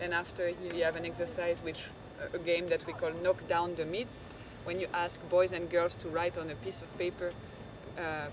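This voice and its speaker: Moderate-paced speech in a French accent, with noticeable background noise. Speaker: NGO panelist presenting a school program. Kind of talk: panel presentation. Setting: conference stage with audience. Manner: halting, with frequent fillers and restarts.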